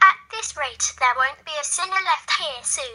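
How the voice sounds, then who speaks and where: A woman uses a put-on character voice at an extremely high pitch, with lively intonation. Her loudness swings widely as she talks at a moderate pace. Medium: read story.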